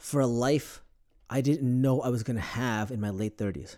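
The man has a medium-pitched voice with a dark, mellow tone and ordinary pitch variation. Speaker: COVID survivor. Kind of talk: casual chat. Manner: fast talker.

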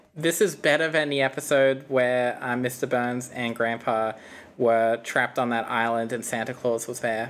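A woman with an Australian accent, very deep and low in pitch, at a moderate pace. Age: 20s. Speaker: gaming YouTuber, podcast guest. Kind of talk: casual chat.

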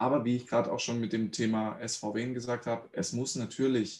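A man's plain, everyday voice at medium pitch, with a moderate pace and ordinary pitch variation. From Swabia, Germany (Reutlingen). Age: 30s. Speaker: mental coach, former pro footballer. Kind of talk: casual interview.

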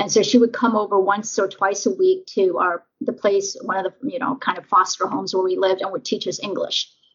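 A woman with an American accent speaks at a fairly quick pace, her medium pitch showing ordinary variation. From US, raised from early childhood after leaving Vietnam as a refugee. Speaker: patent attorney and diversity council member. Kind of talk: interview. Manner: hesitant, many fillers.

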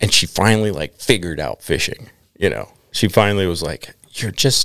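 Recorded with a dry, close sound and no echo, a plain, everyday voice with an American accent moves at a fairly quick pace. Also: man. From Minnesota. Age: 30s. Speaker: fly fisherman. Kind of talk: casual chat.

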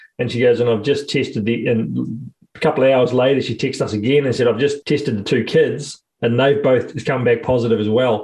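Somewhat breathy, a man with a New Zealand accent speaks at a medium pitch with fairly even intonation. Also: fairly quick pace, hardly any pauses. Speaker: podcast co-host. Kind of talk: casual chat.

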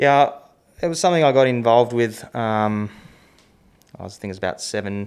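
Talking at a fairly quick pace, a man speaks with an Australian accent. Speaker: professional cricketer. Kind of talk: casual chat. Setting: studio.

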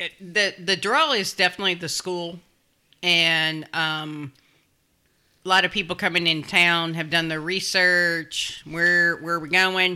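A woman with a Kentucky accent speaks at a fairly low pitch with a bright, sharp tone. Her intonation is fairly even, her pace fairly slow, on a very clean recording with a silent background. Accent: Kentucky Southern US. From Louisville, Kentucky. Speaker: neighborhood resident. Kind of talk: casual chat.

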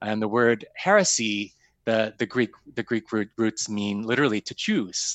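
A man with an American accent and a normal speaking voice, medium in pitch, at a fairly quick pace. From US Midwest, Sioux Falls, South Dakota. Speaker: foundation executive. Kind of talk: interview.

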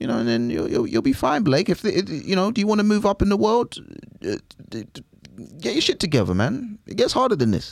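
A man with a London accent talks at a fairly quick pace. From East London. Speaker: comedian. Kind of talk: casual chat. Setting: studio.

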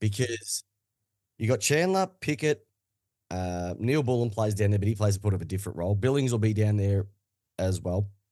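The speaker talks fairly quickly in an Australian accent, with a dark, mellow tone and ordinary pitch variation. Long pauses come often, and the background is quiet. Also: man, fairly low pitch for a man. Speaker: football podcaster. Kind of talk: casual chat.

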